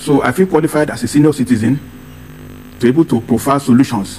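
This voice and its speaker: With a Nigerian accent, a man speaks at a fairly quick pace in a fairly high pitch with ordinary pitch variation, and noticeable background noise is present. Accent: Nigerian (Yoruba) English. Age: 70s. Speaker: political advocate. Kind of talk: TV interview.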